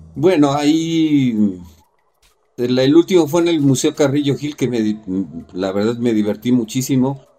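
Music plays in the background as a man speaks at a fairly slow pace, leaving long, frequent pauses. His pitch is medium, with ordinary variation. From Mexico City. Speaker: curator and artist. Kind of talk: casual interview chat.

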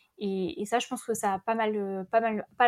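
With an ordinary speaking voice, a woman of medium pitch speaks at a fairly slow pace and with fairly even intonation on a very clean recording with a silent background. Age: 30s. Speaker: podcaster and former engineer. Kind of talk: testimony.

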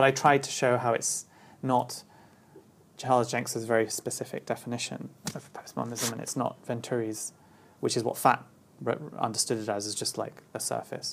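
A man with a London accent speaks at medium pitch and a fairly quick pace. His intonation is flat and monotone, broken by long, frequent pauses. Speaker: designer and architect. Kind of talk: interview. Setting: at home.

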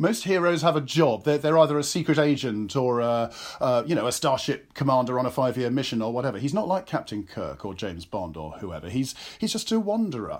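In a very clean recording with a silent background, a man speaks with an English accent. His pitch swings very widely, and his pace is fairly quick. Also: medium pitch for a man. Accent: English (RP-leaning). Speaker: actor and author. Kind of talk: interview chat.

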